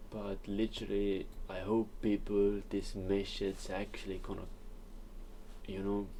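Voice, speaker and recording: A man's fairly low, dark, mellow voice with a non-native accent, monotone and flat, with long, frequent pauses and audible room echo. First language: not English. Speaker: trading educator. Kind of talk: casual monologue.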